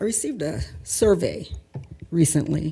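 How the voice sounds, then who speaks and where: Her very deep, low voice has a dark, mellow tone and vocal fry, yet the woman's intonation stays lively. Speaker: public commenter. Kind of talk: public comment at council meeting. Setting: city council meeting.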